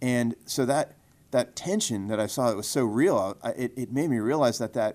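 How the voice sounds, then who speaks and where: A man with an American accent speaks in a normal speaking voice at a medium pitch, with lively intonation and a fairly quick pace. The recording is very clean, with a silent background. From US Northeast and Michigan. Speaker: state politician. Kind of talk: interview. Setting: in person.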